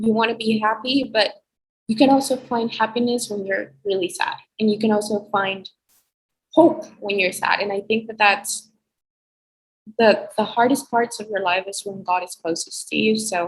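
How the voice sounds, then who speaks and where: A woman with a fairly high, somewhat breathy voice talks at a moderate pace, her pitch varying in an ordinary way. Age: young. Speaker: college student. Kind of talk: casual chat.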